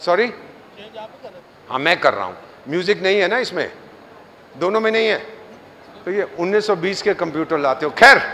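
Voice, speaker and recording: A man speaks with a high pitch. His voice is raised and projected. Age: 70s. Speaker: diplomat and government advisor. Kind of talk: motivational talk to students. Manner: animated, joking.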